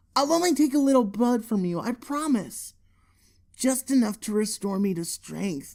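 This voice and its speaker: In a put-on character voice pitched extremely high, a man speaks at a moderate pace on a very clean recording with a silent background. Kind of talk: read story. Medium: read story. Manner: feeble, pleading.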